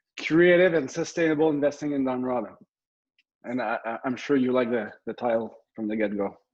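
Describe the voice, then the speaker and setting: A man with a Quebec accent, medium pitch, ordinary pitch variation and a fairly quick pace. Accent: Québécois French-accented English. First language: French. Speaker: military officer and real estate investor. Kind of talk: presentation. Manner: halting, many fillers and repeats.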